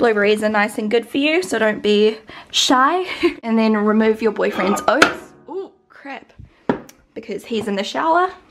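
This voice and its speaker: At a moderate pace with long, frequent pauses, a woman speaks over clear music in the background. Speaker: vlogger. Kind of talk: casual vlog cooking tutorial. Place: kitchen. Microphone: phone near.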